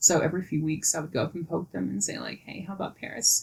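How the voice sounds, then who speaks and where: Speaking at a very fast pace, a woman with a fairly low pitch comes through over noticeable background noise. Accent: Southern US. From US South, Mississippi Delta. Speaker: podcast guest, former sommelier and model manager. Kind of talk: casual interview. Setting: at home in her apartment.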